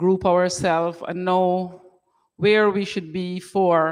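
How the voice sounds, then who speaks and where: On a very clean recording with a silent background, a woman speaks at a fairly slow pace in a medium pitch. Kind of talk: sermon-style talk to congregation. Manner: loud.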